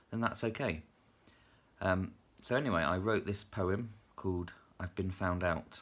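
A man's very deep, low-pitched voice in a British accent, with ordinary pitch variation. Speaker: teacher and writer. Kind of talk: casual chat to camera, then a poem read aloud. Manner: chatty, hesitant, self-deprecating with filler words. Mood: light, self-deprecating. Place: home room. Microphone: phone near.

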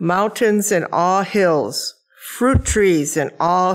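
A woman's speech comes at a very slow pace over a quiet background. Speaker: lay scripture reader. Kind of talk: scripture reading. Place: church. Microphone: podium.

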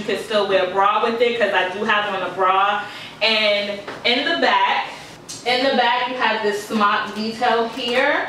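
Fairly slow speech from a woman, fairly even in intonation, with light background noise and audible room echo. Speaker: fashion vlogger. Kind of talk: casual haul review. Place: home room. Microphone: camera far.

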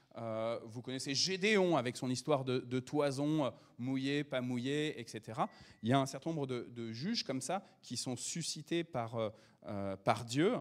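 A man talks fairly slowly, his pitch varying in an ordinary way, and the background stays quiet. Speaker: preacher. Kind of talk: sermon. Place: church.

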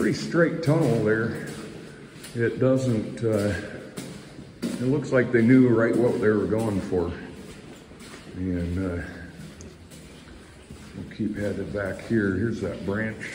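A man at a very slow pace, fairly low in pitch, with long, frequent pauses and noticeable background noise. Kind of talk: casual exploration commentary. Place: tunnel cave. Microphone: phone near.

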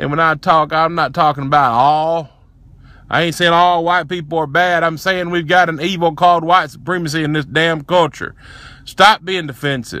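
A man's fairly high, bright, sharp voice with a strong Southern US accent, fairly even intonation and a moderate pace, in a dry sound with no echo. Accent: heavy Southern US. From Tennessee, USA. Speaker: racial justice activist. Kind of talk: casual talk to camera. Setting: inside a pickup truck. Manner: impassioned, profane rant. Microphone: phone near.

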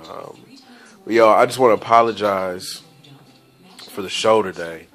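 Over music in the background, a man speaks at a moderate pace with fairly even intonation. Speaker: radio DJ and vlogger. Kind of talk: casual vlog. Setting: at home. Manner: relaxed, casual slang.

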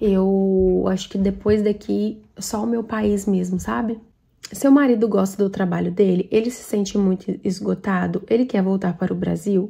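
The voice is somewhat breathy with a dark, mellow tone, moving at a fairly slow pace with fairly even intonation. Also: woman, medium pitch for a woman. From Brazil. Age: 20s. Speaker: vlogger. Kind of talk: Q&A vlog answering viewer questions. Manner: casual, chatty. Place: home room. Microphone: phone near.

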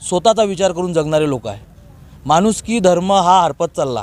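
A man speaks with lively intonation. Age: 30s. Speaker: event organiser, local social worker. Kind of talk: interview statement. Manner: halting.

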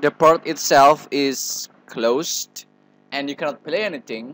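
At a fairly slow pace, a man talks with an Indonesian accent. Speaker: tutorial presenter. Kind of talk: tutorial. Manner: halting, hesitant with fillers.

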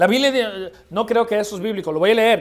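The background stays quiet. The speaker is a man. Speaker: preacher. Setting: church. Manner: forceful, emphatic, confrontational, pounding repetition, occasional halting restarts. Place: church. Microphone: podium.

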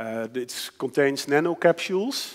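Against a quiet background, a man with a Dutch accent speaks with lively intonation. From Netherlands. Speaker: designer and futurist lecturer. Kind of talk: lecture. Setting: stage with audience. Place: hall. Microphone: headset.

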